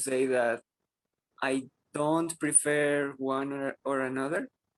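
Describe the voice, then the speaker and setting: Speaking very slowly, a man with a fairly high pitch keeps his intonation fairly even, in a dry, close sound with no echo. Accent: Spanish. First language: Spanish. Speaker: English language student. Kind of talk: class discussion. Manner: halting.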